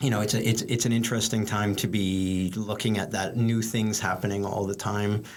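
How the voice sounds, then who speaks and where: A man's fairly low, monotone, flat voice at a fairly quick pace and very even loudness, with audible room echo and noticeable background noise. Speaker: professor. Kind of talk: interview. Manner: fast; halting, many repetitions.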